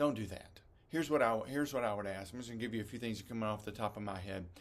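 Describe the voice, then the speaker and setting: Talking at a very fast pace, a man with a medium pitch and ordinary pitch variation is heard with audible room echo. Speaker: executive director of a ministry camp project. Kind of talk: training talk to volunteers. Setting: recording alone in a room. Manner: fast talker when teaching.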